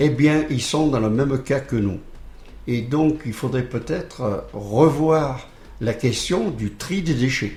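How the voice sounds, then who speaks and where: A man speaks very slowly at a medium pitch. His voice is somewhat breathy, with ordinary pitch variation. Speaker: charity volunteer. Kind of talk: radio interview. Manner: hesitant, many repeated words and fillers.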